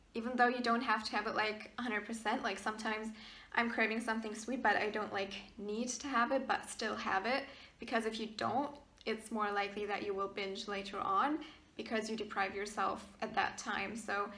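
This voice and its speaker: Audible room echo surrounds a woman speaking at a fairly high pitch. She talks at a fairly quick pace in a monotone, flat intonation. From Germany, partly raised in Maryland, US. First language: German. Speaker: YouTuber. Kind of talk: casual Q&A vlog. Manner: hesitant, many fillers.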